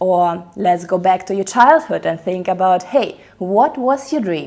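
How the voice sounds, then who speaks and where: A woman with a non-native accent speaks at a medium pitch in an animated tone. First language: not English. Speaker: book reviewer. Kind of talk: casual book review monologue.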